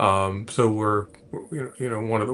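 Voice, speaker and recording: Pitched fairly low, a man speaks with an American accent. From US South, Atlanta. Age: 60s. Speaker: technology executive and space investor. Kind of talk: interview. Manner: halting, many repetitions.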